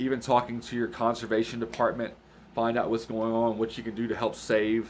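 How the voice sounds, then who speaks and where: A man speaks at a fairly quick pace and a medium pitch. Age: 30s. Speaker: hunting vlogger. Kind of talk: casual vlog talk. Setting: late at night, home recording. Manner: relaxed, hesitant with fillers.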